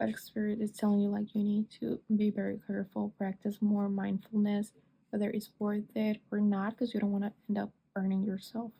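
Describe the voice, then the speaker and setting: At a moderate pace, a woman speaks in a monotone, flat intonation with a medium pitch and a dark, mellow, somewhat breathy tone. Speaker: tarot reader. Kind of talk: tarot reading monologue.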